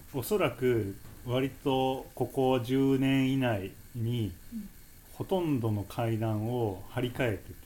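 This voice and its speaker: Speech comes at a very slow pace. Its tone is dark and mellow. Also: man, medium pitch for a man, ordinary pitch variation. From Japan, Nagoya. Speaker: stairs and slopes enthusiast. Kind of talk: casual chat.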